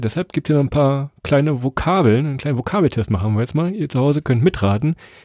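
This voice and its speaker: A man's fairly high-pitched voice, dark and mellow in tone and somewhat breathy, with lively intonation, a fairly quick pace and a dry, close sound with no echo. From Lower Saxony, Germany. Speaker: travel podcast host. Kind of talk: casual chat.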